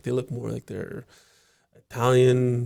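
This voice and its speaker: Somewhat breathy, a man talks at a moderate pace with a medium pitch. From Ontario, Canada (Toronto and Sudbury). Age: 40s. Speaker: podcast guest. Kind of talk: casual interview conversation. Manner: halting, many restarts.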